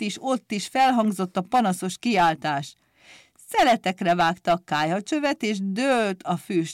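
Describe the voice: Plain reading aloud with lively intonation, against a quiet background.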